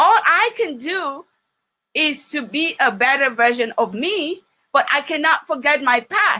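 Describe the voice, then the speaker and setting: Raised and projected, a woman's high, bright, sharp voice sweeps through very wide pitch swings with an animated tone at a fairly slow pace. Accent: Nigerian. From Nigeria, Ondo City. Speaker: business trainer. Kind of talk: training talk.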